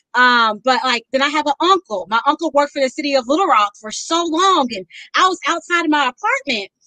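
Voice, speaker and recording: A woman's raised, projected voice rings out at a high pitch with a bright, sharp tone and lively intonation. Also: dry, close sound with no echo. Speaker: author and poet. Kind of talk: casual chat.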